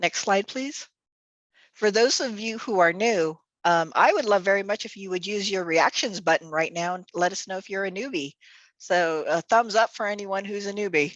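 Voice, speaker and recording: Against a quiet background, a woman speaks at a moderate pace in a medium pitch with ordinary pitch variation and big swings in loudness. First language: Tagalog. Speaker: nonprofit executive director. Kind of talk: virtual event hosting.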